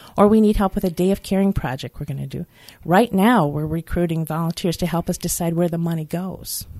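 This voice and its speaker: Over a silent background in a very clean recording, a woman with an American accent speaks at a fairly low pitch in a dark, mellow tone, with ordinary pitch variation, a moderate pace and a dry, close sound with no echo. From Michigan. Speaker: nonprofit executive, social worker. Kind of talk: interview. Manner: hesitant with fillers.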